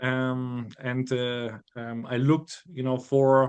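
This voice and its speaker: Here a man speaks with a German accent. His pitch is medium. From Germany. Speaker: bible college student. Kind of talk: interview. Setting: podcast. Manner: halting, many fillers.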